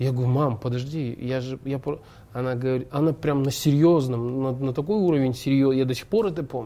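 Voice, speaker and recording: Here a man speaks with a medium pitch, ordinary pitch variation and a dark, mellow tone. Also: fairly quick pace. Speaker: actor and stuntman. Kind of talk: casual chat.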